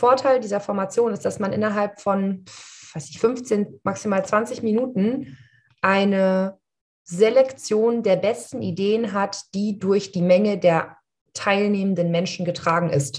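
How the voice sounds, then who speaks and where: At a fairly slow pace, a woman talks in a somewhat breathy voice with ordinary pitch variation. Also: medium pitch for a woman, quiet background. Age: 30s. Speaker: coach and podcast co-host. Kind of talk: casual chat.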